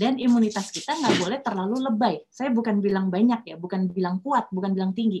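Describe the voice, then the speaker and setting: A woman speaks at a fairly quick pace. Her voice is somewhat breathy. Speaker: doctor giving a lecture. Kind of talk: lecture. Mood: friendly, playful explaining. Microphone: video call.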